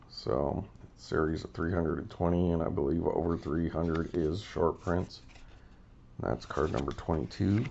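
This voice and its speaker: A man speaks with a very deep, low pitch, a raspy texture and vocal fry, in an American accent. His pace is moderate and his pitch varies in an ordinary way. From US Southwest (Albuquerque, New Mexico). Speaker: sports card collector YouTuber. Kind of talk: casual card-opening video monologue. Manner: casual, hesitant with fillers.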